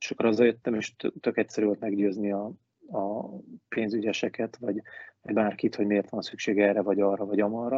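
Everything comes out very fast. The intonation stays monotone and flat. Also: man, fairly low pitch for a man. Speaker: ice hockey manager and referee. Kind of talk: casual interview. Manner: casual, hesitant.

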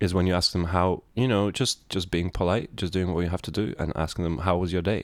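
In a very clean recording with a silent background, a man with a Lithuanian accent speaks at a moderate pace in a very deep, low pitch. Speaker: podcast co-host. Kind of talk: casual chat.

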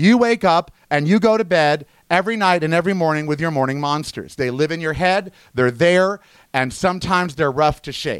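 A man's intonation is lively, and the recording is very clean with a silent background. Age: 50s. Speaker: podcast host. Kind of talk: solo monologue podcast. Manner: conversational, with frequent fillers.

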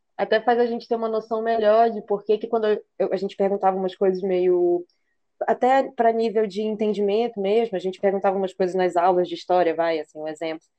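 A woman speaks at a fairly quick pace with fairly even intonation and a medium pitch. It is an unremarkable speaking voice. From Belém, Brazil. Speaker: podcast co-host. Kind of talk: casual chat.

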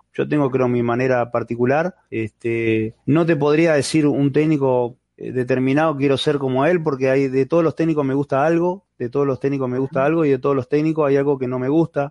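With a Uruguayan accent, a man speaks at a fairly quick pace with hardly any pauses, his pitch fairly high and his intonation fairly even. The sound is dry and close with no echo. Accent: Rioplatense Spanish (Uruguayan), voseo. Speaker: retired goalkeeper and football coach. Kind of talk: interview.

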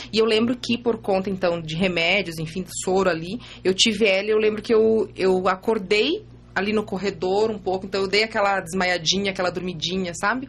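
A woman speaks at a fairly quick pace in a medium pitch. Her intonation is fairly even, and she has an ordinary speaking voice. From Santa Catarina, Brazil (Ipumirim). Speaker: image consultant and mother of five. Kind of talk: casual interview, personal testimony. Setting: radio studio.

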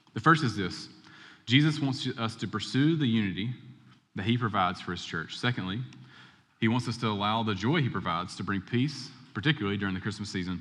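With lively intonation and audible room echo, a man at a medium pitch speaks very fast, broken by long, frequent pauses. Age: 30s. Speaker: pastor. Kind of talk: sermon. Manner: conversational.

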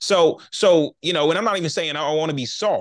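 A man speaks with an American accent and vocal fry. The background is quiet. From Charlotte, North Carolina. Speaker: podcast host and men's ministry leader. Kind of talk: interview. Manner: stammering repetitions.

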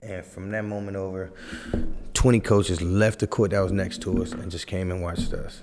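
With an American accent, a man speaks at a moderate pace in a very deep, low pitch and fairly even intonation. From US West Coast, Fresno, California. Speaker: former pro basketball player and youth coach. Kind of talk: casual chat.

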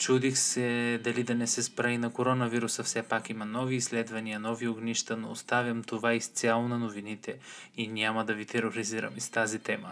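A man speaks at a fairly quick pace. His intonation is flat and monotone. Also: medium pitch for a man. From Bulgaria. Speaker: podcast host. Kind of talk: casual chat. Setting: video call.

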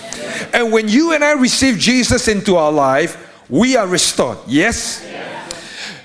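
A man with a high pitch speaks in an animated tone with very wide pitch swings. Noticeable background noise runs behind him. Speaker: pastor. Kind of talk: sermon. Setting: live church service. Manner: animated, call-and-response preaching with rhetorical questions.

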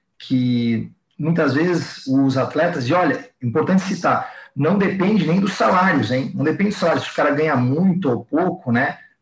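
A man with a normal speaking voice has fairly high pitch and lively intonation. He keeps a moderate pace and very even loudness. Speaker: fitness coach. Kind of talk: casual interview chat.

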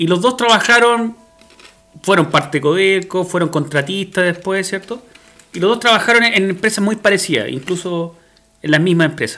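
A man projects his raised, high-pitched voice. He keeps a moderate pace with ordinary pitch variation. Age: 40s. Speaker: podcast host. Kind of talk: casual chat.

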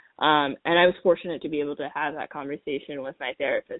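In an American accent, a woman talks with a very deep, low pitch and fairly even intonation. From Washington, D.C. area. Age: 20s. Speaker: podcast guest. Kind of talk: casual chat.

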